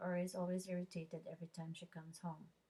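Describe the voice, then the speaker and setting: A somewhat breathy woman's voice at medium pitch. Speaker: student. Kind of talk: oral presentation. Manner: halting.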